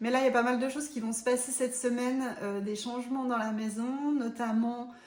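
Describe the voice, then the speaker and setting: Audible room echo surrounds a woman speaking in a high voice. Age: 40s. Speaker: vlogger. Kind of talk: casual vlog talk to camera. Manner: hesitant, many filler sounds.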